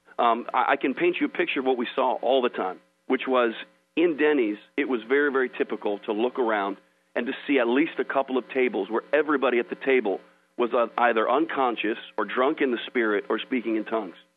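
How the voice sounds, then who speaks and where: At a fairly quick clip, a man talks in a plain, everyday voice at a medium pitch. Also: ordinary pitch variation. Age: 30s. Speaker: evangelist. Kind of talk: sermon; interview. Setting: phone call.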